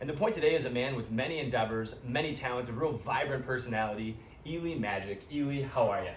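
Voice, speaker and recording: A man with an American accent talks at a very fast pace in a medium pitch, with audible room echo and noticeable background noise. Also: ordinary pitch variation. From US Midwest, Cleveland, Ohio. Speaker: podcast host. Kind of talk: casual chat. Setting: in person at guest's coffee shop.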